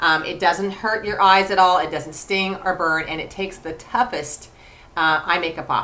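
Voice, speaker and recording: At a moderate pace, a woman speaks in an unremarkable speaking voice. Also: medium pitch for a woman, fairly even intonation. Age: 50s. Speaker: cosmetics sales director. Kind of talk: product demonstration. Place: home room. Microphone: webcam.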